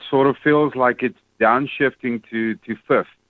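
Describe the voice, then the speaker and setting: With a South African accent, a man speaks with ordinary pitch variation. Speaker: caller. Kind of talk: phone-in question. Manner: hesitant with fillers.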